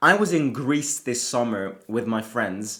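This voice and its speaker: This man has an Italian accent. He talks at a fairly slow pace. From Italy. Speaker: football fan channel host. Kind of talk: casual football preview vlog. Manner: casual, with frequent hesitations.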